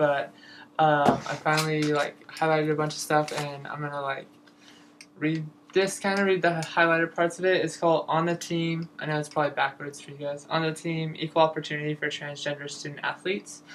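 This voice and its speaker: A woman with a very deep, low pitch talks at a fairly quick pace in a flat monotone. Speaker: transgender student athlete. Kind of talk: casual talk to camera.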